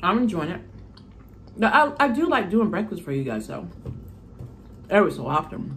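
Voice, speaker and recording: A woman talks at a moderate pace with very wide pitch swings, vocal fry, big swings in loudness and long, frequent pauses over light background noise. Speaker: mukbang youtuber; mukbang vlogger. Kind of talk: casual chat. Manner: rambling. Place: home room. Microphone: phone near.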